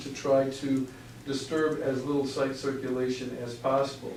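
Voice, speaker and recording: A man speaks with a fairly high pitch. Audible room echo and noticeable background noise surround him. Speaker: architect presenting to school board. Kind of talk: presentation at public meeting. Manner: fast; halting, many fillers.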